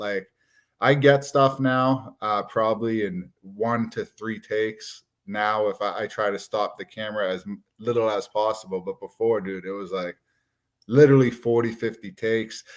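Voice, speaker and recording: At a moderate pace and medium pitch, a man with a strong Massachusetts accent speaks with fairly even intonation in a very clean recording with a silent background. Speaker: watch YouTuber. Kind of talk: live stream casual chat. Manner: casual, conversational.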